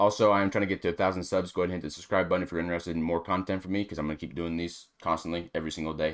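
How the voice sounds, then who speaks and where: A man speaks very fast in a very deep, low voice, on a very clean recording with a silent background. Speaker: reaction video streamer. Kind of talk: casual reaction commentary. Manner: animated.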